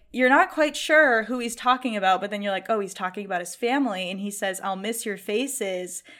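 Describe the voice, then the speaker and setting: A woman with a plain, everyday voice, fairly high in pitch, with an American accent and ordinary pitch variation, in a very clean recording over a silent background. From Massachusetts, US. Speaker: film content creator. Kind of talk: casual chat.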